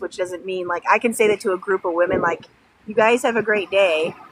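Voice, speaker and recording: With a northern US accent, a woman speaks in fairly even intonation amid noticeable background noise. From Illinois, Sycamore (west of Chicago). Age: 30s. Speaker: livestreamer. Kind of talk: casual chat.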